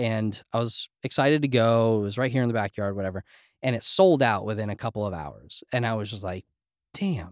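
A normal speaking voice with an American accent moves at a moderate pace. The recording is very clean and dry, close-miked with no echo against a silent background. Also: man. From New Jersey / New York. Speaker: former music industry rep, startup advisor. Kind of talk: casual interview conversation. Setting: in-person podcast studio.

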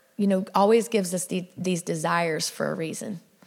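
Using a Southern accent, a woman speaks at medium pitch and a fairly slow pace. Vocal fry runs through her voice. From South Louisiana. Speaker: women's ministry speaker, ranch worker. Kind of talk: sermon. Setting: church with audience. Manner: animated.

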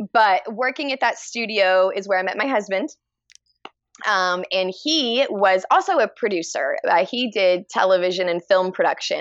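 A woman with a Texan accent talks at a moderate pace, her medium-pitched voice carrying lively intonation. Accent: Texan American English. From Texas, Dallas. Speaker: fiber artist. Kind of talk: casual chat.

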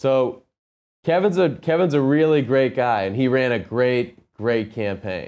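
A man with an American accent has an unremarkable speaking voice and ordinary pitch variation. He goes at a moderate pace against a quiet background. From Massachusetts, Medfield. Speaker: union carpenter and former candidate. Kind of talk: interview.

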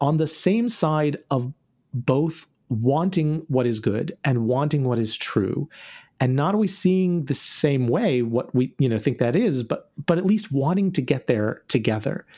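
With an American accent, a man speaks at a fairly slow pace, his tone dark and mellow and his intonation lively. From North Carolina, US South. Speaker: author and activist. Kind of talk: interview conversation. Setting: remote call.

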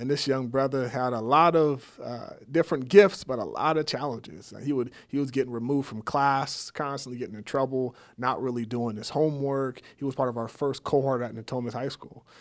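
On a very clean recording with a silent background, a man with an American accent and an ordinary speaking voice talks at a fairly quick pace and medium pitch, his intonation fairly even but his loudness swinging widely. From Sacramento, California. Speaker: nonprofit CEO. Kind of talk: interview.

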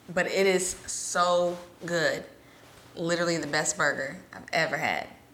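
With an American accent, a woman speaks amid audible room echo. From US South (Alabama, Georgia, Mississippi). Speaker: podcast co-host. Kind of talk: casual chat.

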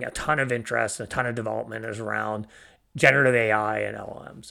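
A man at a moderate pace, bright and sharp in tone, with vocal fry. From Canada. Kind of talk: interview. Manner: halting, many fillers.

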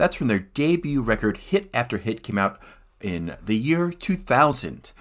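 With an American accent, a man speaks in a playful, relaxed tone with very wide pitch swings. The recording is very clean, with a silent background. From United States. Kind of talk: radio DJ patter introducing punk tracks between songs. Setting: radio studio broadcast. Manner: chatty, playful and relaxed, with quips and laughter; conversational and fluent, with frequent filler 'uh' and 'um'.

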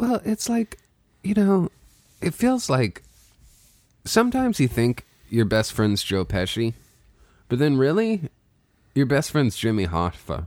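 A man with a fairly high pitch speaks at a fairly slow pace, with very wide pitch swings and long, frequent pauses. The sound is dry and close with no echo, on a very clean recording with a silent background. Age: 20s. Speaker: podcast host. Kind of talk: casual chat.

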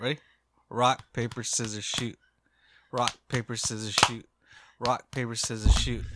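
A man's bright, sharp tone with vocal fry and monotone, flat intonation. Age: 40s. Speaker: podcast co-host. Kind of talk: casual chat.

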